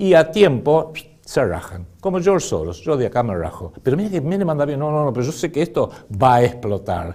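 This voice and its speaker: The speaker is a man with a dark, mellow tone. His pitch swings very widely. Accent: Argentine. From Argentina. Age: 60s. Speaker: political commentator. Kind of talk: political commentary monologue. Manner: animated.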